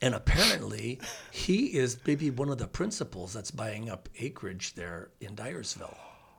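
A man speaks with an American accent at a moderate pace, his voice showing vocal fry. His loudness swings widely, and his pitch rises and falls over a very wide range. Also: medium pitch for a man. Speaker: dentist and former radio host. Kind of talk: casual chat. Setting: studio.

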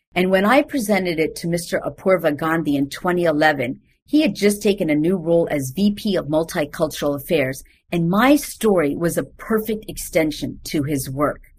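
Somewhat breathy, a woman speaks at a moderate pace with lively intonation in a very clean recording with a silent background. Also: fairly low pitch for a woman. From India. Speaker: diversity consultant. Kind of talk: interview.

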